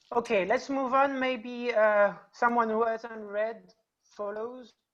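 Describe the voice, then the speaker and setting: A very slow pace with monotone, flat intonation. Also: woman, fairly high pitch for a woman. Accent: non-native. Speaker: university teacher. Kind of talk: seminar discussion. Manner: halting.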